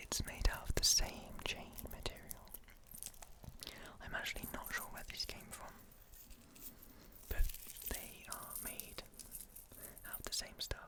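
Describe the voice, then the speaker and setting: A man whispers at a fairly slow pace with long, frequent pauses. His loudness swings widely, and noticeable background noise is present. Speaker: ASMR content creator. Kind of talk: ASMR personal attention, soft-spoken show-and-tell. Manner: soft-spoken, whispery.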